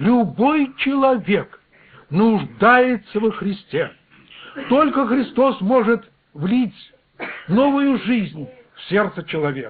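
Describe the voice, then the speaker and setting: The speech moves at a very slow pace with long, frequent pauses, lively intonation and big swings in loudness. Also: man, extremely high pitch for a man. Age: 60s. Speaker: preacher. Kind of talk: sermon.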